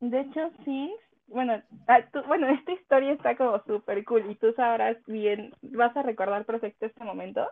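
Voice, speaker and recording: With normal rises and falls in pitch, an unremarkable speaking voice proceeds at a moderate speed. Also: woman, fairly high pitch for a woman. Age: 20s. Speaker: gamer, communications professional. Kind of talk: casual chat.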